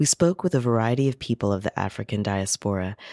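Here a man with an American accent and an ordinary speaking voice talks at medium pitch and a fairly quick pace, with ordinary pitch variation. The recording is very clean, dry and close, with no echo and a silent background. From US South (Carolinas). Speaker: radio host. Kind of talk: scripted narration and introductions. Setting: radio studio.

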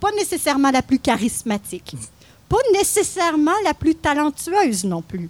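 A woman's voice with very wide pitch swings. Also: dry, close sound with no echo. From Quebec, Mauricie (Louiseville near Trois-Rivières). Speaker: podcast co-host. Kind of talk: scripted narration; casual chat. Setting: live recording at a market.

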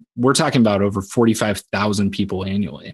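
A man with a Midwestern US accent at a moderate pace, his intonation fairly even. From Southwest Iowa. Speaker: insurance sales manager. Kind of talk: interview. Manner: halting, repeats words.

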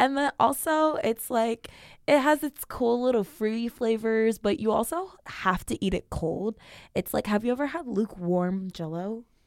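On a very clean recording with a silent background and a dry, close sound with no echo, a woman with an unremarkable speaking voice talks at a moderate pace with lively intonation. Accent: American. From Northern California, Sacramento. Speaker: student podcast host. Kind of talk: casual chat.

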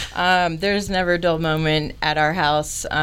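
A woman speaks with an American accent and a very deep, low pitch. Audible room echo surrounds her voice. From Florida (Orlando). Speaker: cleaning business owner. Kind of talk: interview. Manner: halting, many fillers.

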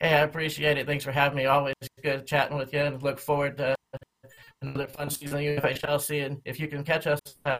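A fairly high-pitched man with an American accent and monotone, flat intonation. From Oklahoma. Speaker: fantasy hockey team owner. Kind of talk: interview.

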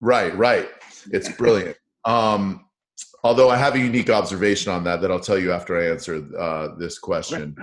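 A man with an American accent has an unremarkable speaking voice and a fairly low pitch. He talks at a moderate pace with ordinary pitch variation. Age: 50s. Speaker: radio host. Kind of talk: podcast interview.

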